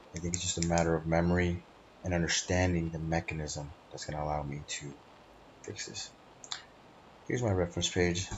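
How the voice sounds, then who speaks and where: This man's pitch is very deep and low. His intonation stays monotone and flat. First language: not English. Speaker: student. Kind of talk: class presentation. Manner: hesitant, with frequent fillers.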